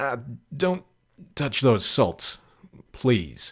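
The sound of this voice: In a very clean recording with a silent background, a man uses a put-on character voice at medium pitch, with big pitch swings, a slightly husky edge, and a very slow pace.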